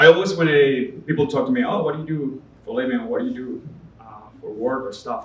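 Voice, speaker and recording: With a Spanish accent, a man with a fairly high pitch speaks at a moderate pace and with ordinary pitch variation, against noticeable background noise and audible room echo. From Venezuela. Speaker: artist. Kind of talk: interview. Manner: halting.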